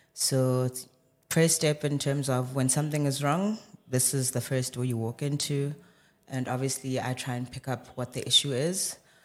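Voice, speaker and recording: The man keeps fairly even intonation at a medium pitch, talking at a moderate pace. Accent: South African. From South Africa, Johannesburg. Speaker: medical doctor. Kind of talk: casual chat.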